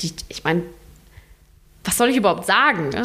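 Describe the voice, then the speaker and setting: There is ordinary pitch variation in this woman's voice. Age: 20s. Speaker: hospice volunteer. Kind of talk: interview. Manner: halting.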